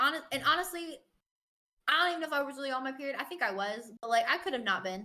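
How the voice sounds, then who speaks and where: A woman speaks very fast in a raised, projected voice with a high pitch and lively intonation. Her tone is animated, bright and sharp. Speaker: podcast co-host. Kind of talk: casual chat.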